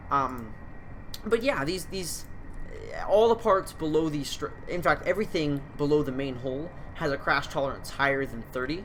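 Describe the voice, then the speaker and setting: The speech is mumbled at a moderate pace. Long pauses come often. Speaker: gaming youtuber. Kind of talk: gameplay commentary. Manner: halting, many fillers; mumbling.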